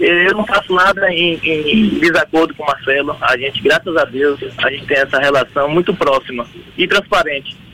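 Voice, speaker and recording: A man speaks at a high pitch and a moderate pace, with ordinary pitch variation. Noticeable background noise runs beneath him. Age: 30s. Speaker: state politician. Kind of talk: radio interview. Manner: halting.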